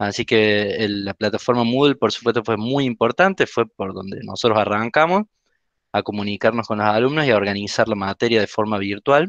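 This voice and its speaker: Against a quiet background, a man with an ordinary speaking voice talks at a fairly quick pace in a fairly low pitch, with ordinary pitch variation and a dry sound with no echo. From Argentina. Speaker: university lab course lecturer. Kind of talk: presentation. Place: home room. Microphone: headset.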